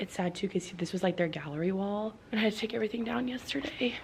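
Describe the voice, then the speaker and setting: Her speech, as a woman, rushes at a very fast pace. Noticeable background noise is present throughout. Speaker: vlogger and first grade teacher. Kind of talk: casual vlog talk. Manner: chatty, fast; quiet.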